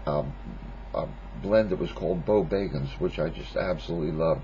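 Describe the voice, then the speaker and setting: There is noticeable background noise and audible room echo. Over it, a man with a very deep, low pitch speaks at a moderate pace. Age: 50s. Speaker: pipe smoking vlogger. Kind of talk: casual monologue response video. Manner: halting, many fillers.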